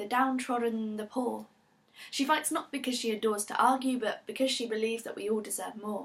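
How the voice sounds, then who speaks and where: A woman speaks at a fairly quick pace, her fairly high pitch held in fairly even intonation. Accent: British. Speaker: performance poet. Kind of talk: performance poetry.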